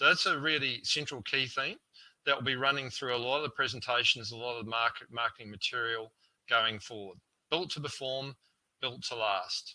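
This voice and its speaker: A man's bright, sharp, medium-pitched voice in a New Zealand accent, fairly quick, with ordinary pitch variation. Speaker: solar panel sales representative. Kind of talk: product presentation. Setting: online webinar. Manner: halting, filler-heavy.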